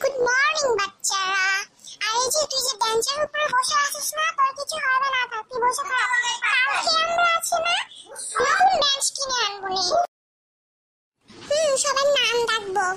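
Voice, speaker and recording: In a cartoonish character voice, a woman talks at a moderate pace with an extremely high pitch and lively intonation. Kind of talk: comic cartoon voice acting. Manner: bossy, scolding.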